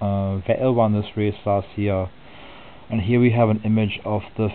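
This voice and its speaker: A man's fairly low-pitched voice at a fairly slow pace. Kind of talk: soft-spoken sports preview narration. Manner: soft-spoken, relaxed.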